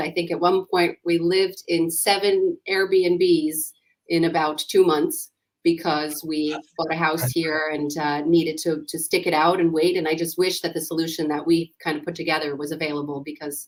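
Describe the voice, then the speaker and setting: A woman in a New York accent, fairly low in pitch, with monotone, flat intonation at a moderate pace. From US, New York. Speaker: startup founder and CEO. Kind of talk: interview.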